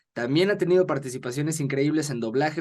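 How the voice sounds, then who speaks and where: This man speaks at a very fast pace. His pitch is fairly high, with ordinary pitch variation. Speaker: interviewer. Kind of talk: podcast host introduction.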